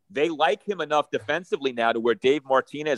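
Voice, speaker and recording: A man with a normal speaking voice, fairly quick in pace, with ordinary pitch variation and a dry, close sound with no echo. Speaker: radio host and baseball analyst. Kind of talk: casual chat.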